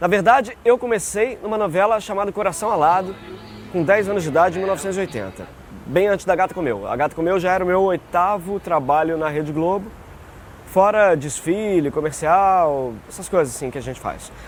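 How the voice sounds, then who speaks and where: A man with a high-pitched voice speaks at a fairly quick pace with ordinary pitch variation, and there is noticeable background noise. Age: 40s. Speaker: voice actor. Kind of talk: interview answer.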